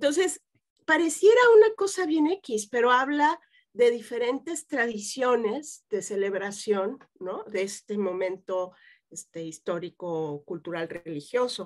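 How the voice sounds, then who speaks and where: A woman's fairly high voice with very wide pitch swings, at a fairly slow pace against a quiet background. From Mexico City. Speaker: psychotherapist; guest. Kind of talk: interview. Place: home room. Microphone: webcam.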